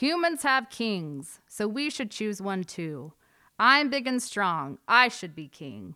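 The passage is read aloud in a natural voice.

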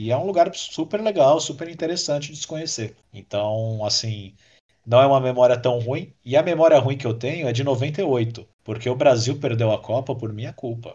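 Somewhat breathy speech at a moderate pace, with big swings in loudness over a quiet background. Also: man, medium pitch for a man, ordinary pitch variation. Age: 30s. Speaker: podcast listener and former podcaster. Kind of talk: casual chat.

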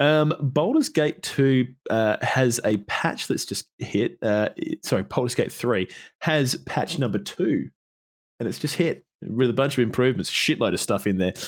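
A man speaks at a moderate pace and medium pitch with lively intonation. The recording is very clean, with a silent background. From Perth, Australia. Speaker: podcast host. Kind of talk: casual chat. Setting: live stream. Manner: informal, jokey.

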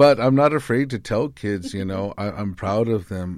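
On a very clean recording with a silent background, a man with an unremarkable speaking voice speaks at a moderate pace and a fairly low pitch. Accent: American. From Arizona, Tucson (Yaqui tribe). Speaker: classical guitarist and motivational speaker. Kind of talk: interview conversation. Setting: studio.

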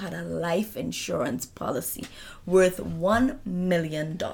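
A woman talks at medium pitch. Her voice carries vocal fry. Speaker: true crime podcast co-host. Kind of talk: casual chat; case narration.

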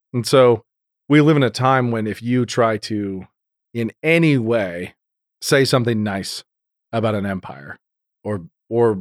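The sound is dry and close, with no echo. A man talks in an American accent. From Idaho, US. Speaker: podcast host. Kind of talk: casual chat.

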